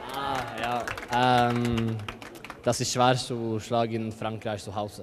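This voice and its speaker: A man with a non-native accent, faint music in the background. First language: not German (speaking German). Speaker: professional handball player; guest. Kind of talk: post-match interview. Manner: halting; calm. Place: hall. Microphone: handheld.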